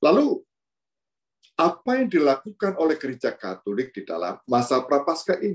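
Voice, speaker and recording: Against a quiet background, a man with a fairly high pitch and vocal fry talks at a moderate pace, his pitch swinging very widely. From Indonesia (Pringsewu, Lampung); Indonesia. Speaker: priest giving reflection. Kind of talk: sermon. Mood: warm, smiling, humorous. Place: office. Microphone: video call.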